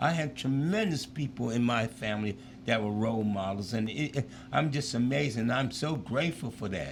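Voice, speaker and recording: This man has a medium pitch and a somewhat breathy voice, speaking at a moderate pace with ordinary pitch variation. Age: 70s. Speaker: former pro football player and school teacher. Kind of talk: interview chat. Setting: live show.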